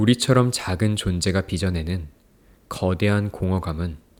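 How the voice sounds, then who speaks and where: A man's very deep, low voice at a fairly slow pace, with ordinary pitch variation, in a very clean recording with a silent background. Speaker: book reviewer and poetry reader. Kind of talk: poetry reading.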